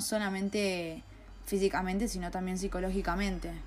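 Moderate pacing from a woman at a medium pitch, amid audible room echo. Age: 20s. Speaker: film critic podcaster, journalism student. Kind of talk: solo podcast monologue, film analysis.

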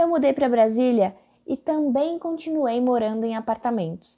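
A woman talks at a moderate pace with a fairly high pitch. Her tone is dark and mellow, and her intonation lively. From Brazil, São Paulo. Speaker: podcast host and digital influencer. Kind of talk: solo podcast monologue.

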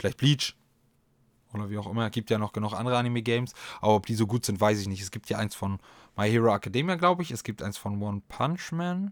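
A man with a fairly low pitch, very fast pace, animated tone and lively intonation, on a very clean recording with a silent background and a dry, close sound with no echo. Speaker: podcast host. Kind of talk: casual solo chat.

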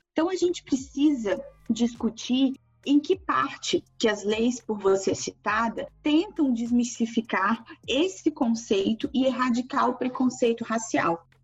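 Against noticeable background noise, a woman talks at a fairly slow pace in a high pitch with lively intonation. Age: 30s. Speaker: university lecturer. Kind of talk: interview.

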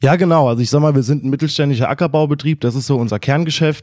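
A man with a normal speaking voice, medium pitch and fairly even intonation, on a very clean recording with a silent background. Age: 20s. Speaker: young farmer. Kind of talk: interview.

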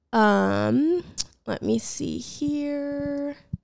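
Her tone animated, a woman talks in a very clean recording against a silent background. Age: 20s. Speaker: podcast host. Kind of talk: casual solo Q&A chat. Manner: animated, casual with many fillers.

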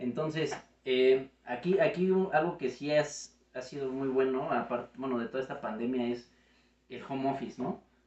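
A man has an ordinary speaking voice, medium in pitch, with ordinary pitch variation at a moderate pace. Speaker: video editor. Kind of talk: casual chat.

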